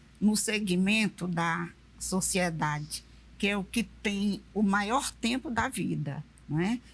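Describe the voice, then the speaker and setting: Somewhat breathy, the voice moves very slowly with lively intonation. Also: woman. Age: 70s. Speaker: retired railway worker. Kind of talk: panel discussion.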